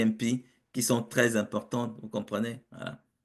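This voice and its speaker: A man talks at a fairly slow pace with fairly even intonation. His pitch is medium, and the background is quiet. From Africa. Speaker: project management consultant and professor. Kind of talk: webinar interview. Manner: hesitant with fillers and repetitions.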